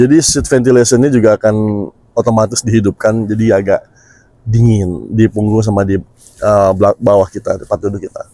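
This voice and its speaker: Dark, mellow tone from a man, fairly quick, with fairly even intonation. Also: fairly low pitch for a man, dry, close sound with no echo. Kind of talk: Indonesian speech with Malay accent.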